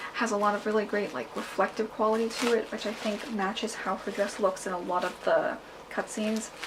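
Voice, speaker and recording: A woman's fairly high voice moves at a fairly quick clip with fairly even intonation, noticeable background noise behind her. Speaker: cosplayer. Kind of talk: casual talk to camera.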